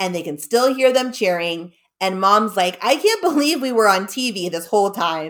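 There is lively intonation in a natural reading voice, set against a quiet background.

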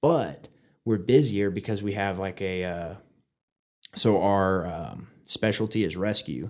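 Here a man with an American accent has a normal speaking voice and a fairly low pitch. He talks fairly slowly, with ordinary pitch variation. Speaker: firefighter and podcaster. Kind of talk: casual interview.

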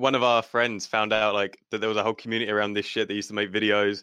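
In a southern English accent, the voice moves at a very fast pace with monotone, flat intonation over a quiet background. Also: man. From south-east England (Kent), Italian family. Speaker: gaming clan leader. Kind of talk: casual chat. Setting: at home, live online podcast.

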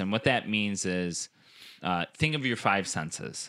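A man speaks at a moderate pace in an ordinary speaking voice, his pitch fairly low with ordinary variation. The recording is very clean, with a silent background and a dry, close sound with no echo. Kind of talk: casual chat. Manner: casual, joking.

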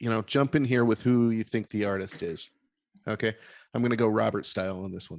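An ordinary speaking voice with ordinary pitch variation, recorded dry and close with no echo against a quiet background. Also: man. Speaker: podcast host. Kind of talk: casual chat. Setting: video call.

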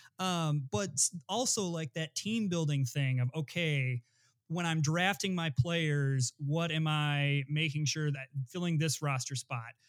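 With an American accent, a man speaks fairly slowly in an unremarkable speaking voice, his fairly high pitch varying in an ordinary way, on a very clean, dry, close recording with no echo and a silent background. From Flint, Michigan. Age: 30s. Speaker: sports writer. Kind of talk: casual chat.

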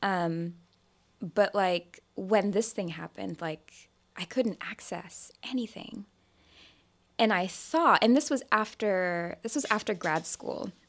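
Lively intonation at a very slow pace on a very clean recording with a silent background. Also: woman, medium pitch for a woman. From Nigeria. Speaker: storyteller and writer. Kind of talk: casual chat. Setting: studio.

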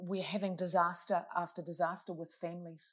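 A woman with a New Zealand accent speaks at a fairly quick pace. Her medium-pitched delivery is monotone, with flat intonation. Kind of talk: casual interview.

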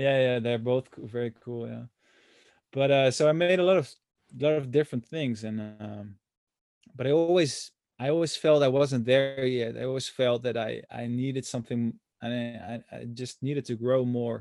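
A man talks at a moderate pace, his medium-pitched voice rising and falling in an ordinary way. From Netherlands. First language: Dutch. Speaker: musician. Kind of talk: interview. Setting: video call. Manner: halting, many repetitions.

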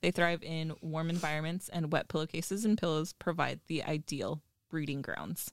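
This woman has a very deep, low pitch and fairly even intonation at a moderate pace. The sound is dry and close, with no echo. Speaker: podcast co-host. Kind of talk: casual chat. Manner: reading from script.

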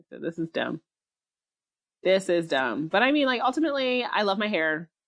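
A woman with an American accent speaks in an animated tone, her pitch swinging very widely, in a dry, close recording with no echo. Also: quiet background. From US, Nigerian family. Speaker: podcast co-host. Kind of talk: casual chat.

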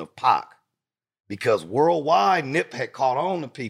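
A man with an American accent talks at a fairly slow pace, his pitch swinging very widely. The recording is very clean, with a silent background. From Los Angeles, California. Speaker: music industry PR partner and podcaster. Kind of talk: casual interview chat.

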